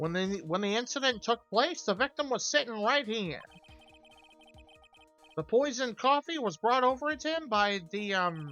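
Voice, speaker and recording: A put-on character voice at a fairly high pitch moves at a moderate pace, with faint music in the background. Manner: stuttering, hesitant.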